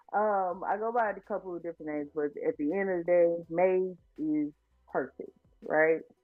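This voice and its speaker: A fairly low-pitched woman with an American accent, ordinary pitch variation and a moderate pace, music in the background. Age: 20s. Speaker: student and podcast host. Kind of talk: interview.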